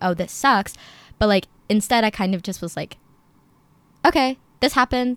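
A normal speaking voice from a woman with an American accent, moderate in pace with ordinary pitch variation, in a very clean recording with a silent background and a dry, close sound with no echo. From New Jersey. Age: young. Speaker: university student. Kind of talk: casual chat.

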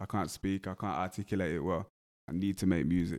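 The recording is very clean, with a silent background. A man with a dark, mellow tone speaks at a fairly quick pace. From West Midlands, England. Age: 20s. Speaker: rapper and music producer. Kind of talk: casual interview. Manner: monotone.

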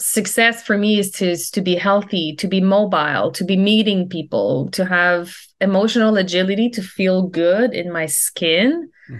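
A woman has an unremarkable speaking voice at a medium pitch, set against a quiet background. She talks at a moderate pace with hardly any pauses. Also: ordinary pitch variation. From Quebec, Canada (near Quebec City). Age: 40s. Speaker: leadership and life coach. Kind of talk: casual interview chat.

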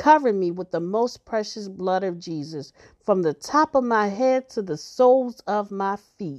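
A woman with an unremarkable speaking voice talks at a fairly slow pace, her pitch medium and her intonation lively. The sound is dry and close with no echo, over a quiet background. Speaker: prayer podcaster. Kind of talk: fervent healing prayer, spoken as an earnest plea to God. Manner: earnest, pleading, devout, intense; slow, reverent, measured.

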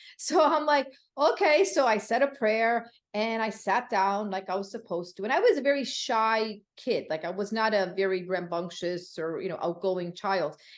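A woman with a plain, everyday voice, fairly high in pitch, at a moderate pace with lively intonation. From Connecticut, US. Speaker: funeral services educator. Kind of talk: interview.

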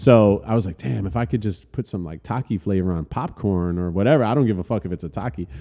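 With a New Jersey accent, a man with a fairly low pitch and a dark, mellow tone talks with lively intonation and hardly any pauses. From New Jersey, Elizabeth. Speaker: music industry entrepreneur, former hardcore singer. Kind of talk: casual chat. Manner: casual, halting with fillers.

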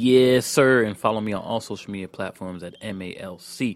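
A man with a fairly low pitch speaks at a moderate pace in a normal speaking voice. His pitch variation is ordinary, and the recording is very clean with a silent background. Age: 30s. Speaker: podcast co-host. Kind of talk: casual chat.

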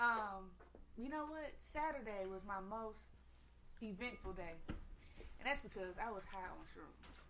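An ordinary speaking voice moves at a fairly slow pace. The intonation is lively. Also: woman, medium pitch for a woman. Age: 30s. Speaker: podcast co-host and performer. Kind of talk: casual chat.

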